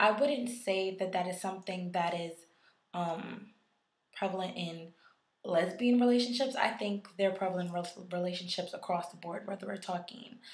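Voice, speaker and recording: Somewhat breathy, a woman speaks at a moderate pace with big swings in loudness and audible room echo. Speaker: YouTuber giving relationship advice. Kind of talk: vlog.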